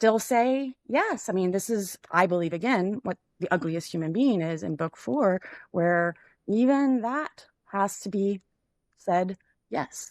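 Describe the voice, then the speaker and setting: A woman with an American accent speaks very slowly in a medium pitch with lively intonation, in a very clean recording with a silent background and a dry, close sound with no echo. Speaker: podcast host. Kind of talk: philosophical discussion. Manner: halting, many fillers.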